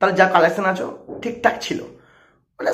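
A man's voice against a quiet background. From West Bengal, Digha area near Odisha; West Bengal. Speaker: movie reviewer YouTuber. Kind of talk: vlog rant to camera. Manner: animated, emphatic. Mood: defensive, argumentative. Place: home room. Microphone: lapel.

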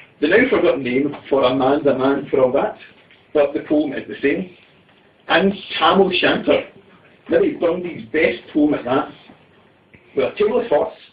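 There are long, frequent pauses as a man talks at a moderate pace over noticeable background noise. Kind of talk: comic poetry reading with chat to a live audience. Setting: live event in a tea room.

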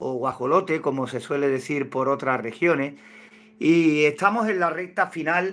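Pitch varying in an ordinary way, a man speaks at a fairly slow pace. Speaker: hobby poultry incubation channel host. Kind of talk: casual livestream tutorial chat. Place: home room. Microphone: phone near.

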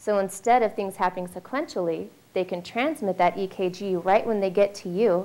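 Her pitch is medium and her tone dark and mellow. The woman talks at a moderate pace with ordinary pitch variation. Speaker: heart health program director; presenter. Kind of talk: informational presentation. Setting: stage with audience. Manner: light-hearted. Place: hall. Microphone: handheld.

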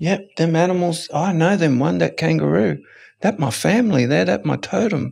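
A man speaks with an Australian accent. His loudness stays very even. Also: moderate pace. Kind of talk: podcast interview answer; interview answer. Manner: reflective, with pauses. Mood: calm, reflective. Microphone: studio mic.

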